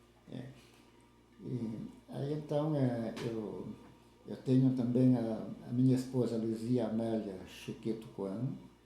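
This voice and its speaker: The speech moves at a very slow pace with long, frequent pauses and fairly even intonation. Noticeable background noise and audible room echo are present. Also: man, medium pitch for a man. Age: 70s. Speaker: retired farmer and lay church leader. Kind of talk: interview, life story. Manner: halting, with fillers and repetitions.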